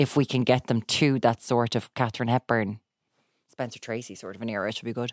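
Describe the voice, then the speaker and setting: In an Irish accent, a woman with a very deep, low voice speaks at a very fast pace, her intonation fairly even but her loudness swinging widely, on a very clean recording with a silent background. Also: dry, close sound with no echo. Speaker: broadcaster and TV presenter. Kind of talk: casual chat.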